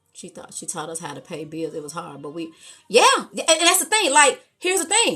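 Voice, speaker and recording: Woman with an American accent in a raised, projected voice, bright and sharp in tone, animated, very wide pitch swings, fairly quick pace. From Chicago. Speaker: live stream host. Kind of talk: live stream chat. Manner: loud.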